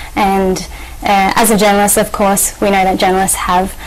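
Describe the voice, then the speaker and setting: This is a woman speaking. She has an Australian accent. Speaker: journalist and activist. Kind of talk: TV interview. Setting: TV studio. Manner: halting, many fillers. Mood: earnest, calm. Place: studio.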